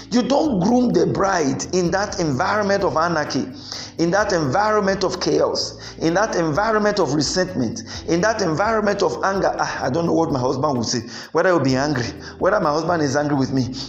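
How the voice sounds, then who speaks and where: Over noticeable background noise, the speaker talks at a fairly quick pace with very even loudness. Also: man, high pitch for a man, lively intonation. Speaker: preacher and marriage counsellor. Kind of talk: sermon. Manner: animated.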